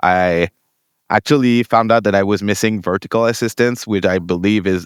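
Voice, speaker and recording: A man talks fairly quickly with a Quebec accent. His pitch varies in an ordinary way, in a dry, close sound with no echo. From Quebec, Montreal. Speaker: tabletop game tournament winner. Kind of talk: interview. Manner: halting.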